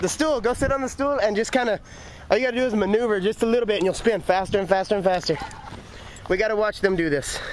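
Over light background noise, a man talks at a very fast pace with a high pitch. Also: ordinary pitch variation, dry sound with no echo. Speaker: vlogger. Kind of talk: casual vlog chat. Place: street. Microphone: phone near.

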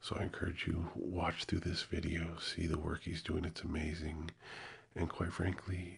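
A man speaks at a very deep, low pitch with monotone, flat intonation, somewhat breathy. The background is quiet. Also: moderate pace. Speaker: ASMR creator. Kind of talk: soft ASMR channel talk. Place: studio. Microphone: studio mic.

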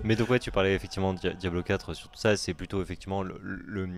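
A man's very deep, low voice at a very fast pace, with fairly even intonation, light background noise and a dry sound with no echo. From French. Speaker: stream co-host. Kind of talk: casual stream commentary chat. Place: home room. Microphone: headset.

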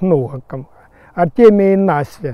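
A high-pitched man at a fairly slow pace. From Crimea. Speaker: nursery owner, fruit tree grower. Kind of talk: casual interview, guided tour talk. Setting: outdoors.

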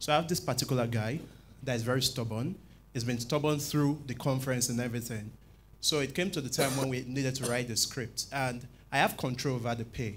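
With light background noise, a man talks at a fairly quick pace, his medium pitch held in a fairly even intonation. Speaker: scriptwriter in audience. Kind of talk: audience question. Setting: church conference with audience. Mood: earnest, thoughtful. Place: church. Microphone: handheld.

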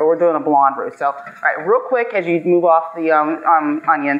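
Over faint background noise, a woman with a low pitch speaks at a moderate pace with ordinary pitch variation.

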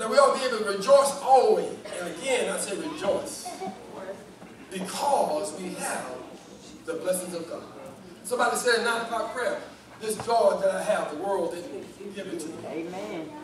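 With audible room echo and noticeable background noise, a man speaks at a moderate pace in a high pitch, his lively intonation broken by long, frequent pauses. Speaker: preacher. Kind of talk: sermon. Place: church.

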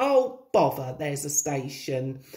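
Slow and dark, mellow in tone, this put-on character voice has big pitch swings. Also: woman, low pitch for a woman.

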